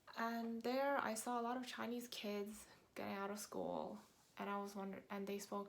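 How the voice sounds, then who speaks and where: Amid audible room echo, a woman with an American accent speaks in a monotone, flat intonation. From New York, US. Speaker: vlogger. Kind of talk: casual talk to camera. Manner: conversational with fillers.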